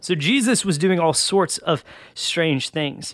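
This very clean recording with a silent background features a man with a high-pitched voice. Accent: Southern US. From Georgia, US South. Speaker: college pastor. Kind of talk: sermon-style podcast talk. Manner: casual, conversational.

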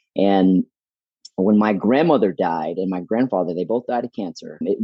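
With an American accent, a man talks at a fairly quick pace in an unremarkable speaking voice, fairly low in pitch, with ordinary pitch variation. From Houston, Texas. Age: 40s. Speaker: fitness business owner. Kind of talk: interview.

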